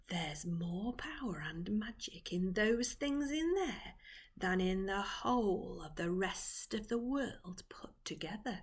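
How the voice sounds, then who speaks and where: A woman's put-on character voice, creaky and medium in pitch, with lively intonation at a fairly slow pace. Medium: read story. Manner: coaxing, secretive.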